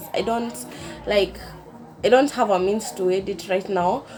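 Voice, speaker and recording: A woman speaks over noticeable background noise. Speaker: vlogger. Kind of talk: casual chat. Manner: slow.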